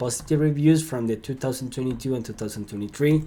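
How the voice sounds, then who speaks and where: Over a silent background on a very clean recording, a man of medium pitch with a Spanish accent speaks in an upbeat tone with a dark, mellow tone. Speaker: sales lead generation consultant. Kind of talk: screen-share tutorial. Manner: halting, with filler words and repeats; casual and upbeat.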